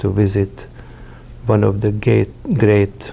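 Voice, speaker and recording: Noticeable background noise runs under a man speaking at a fairly slow pace with a Hungarian accent. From Hungary. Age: 60s. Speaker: interviewee telling life story. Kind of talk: personal testimony. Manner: halting, with frequent fillers.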